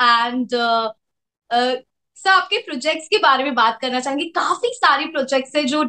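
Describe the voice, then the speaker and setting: A bright, sharp tone in a raised, projected voice. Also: woman. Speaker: interviewer / show host. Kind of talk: interviewer introduction and questions.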